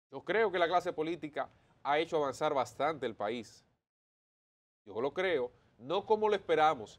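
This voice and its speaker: Man with lively intonation at a moderate pace, with long, frequent pauses. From Dominican Republic. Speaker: political commentator. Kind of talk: opinion commentary. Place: studio. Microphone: lapel.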